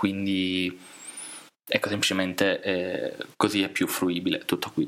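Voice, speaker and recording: The speech moves at a fairly slow pace with very even loudness. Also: man. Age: 20s. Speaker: computer engineering student. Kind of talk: casual chat.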